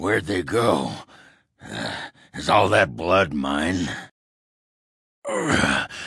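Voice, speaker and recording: A man does a put-on character voice that is raspy and very deep, low in pitch. He goes at a very slow pace with long, frequent pauses. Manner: brash, crude, cocky.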